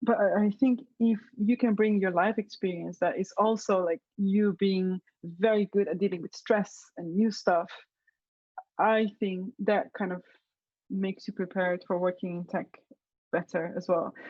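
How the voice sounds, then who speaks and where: A woman's medium-pitched voice with a Slovenian accent, fairly even intonation and a fairly slow pace. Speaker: web developer. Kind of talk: interview. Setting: video call. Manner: casual, many fillers.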